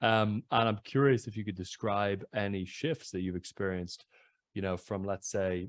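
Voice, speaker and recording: A man with a plain, everyday voice talks at a moderate pace, his fairly low pitch showing ordinary pitch variation. The recording is very clean, with a silent background and a dry, close sound with no echo. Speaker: podcast interviewer. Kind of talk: interview question.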